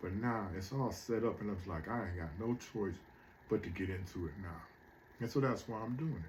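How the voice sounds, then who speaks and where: A man speaks at a fairly quick pace, fairly low in pitch and somewhat breathy. The room echo is audible. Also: ordinary pitch variation. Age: 60s. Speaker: motivational speaker. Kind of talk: motivational monologue. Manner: casual, conversational.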